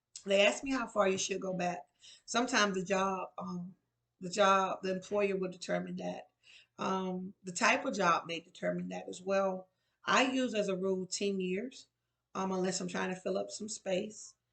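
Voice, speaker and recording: Her voice is a woman's at a medium pitch with fairly even intonation. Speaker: resource and employability coach. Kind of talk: tutorial. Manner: fast.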